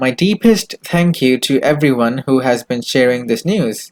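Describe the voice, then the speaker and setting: Speaking with a Pakistani accent, a man talks at a moderate pace. His medium-pitched voice has lively intonation. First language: Urdu. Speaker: YouTube news host. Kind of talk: news reading.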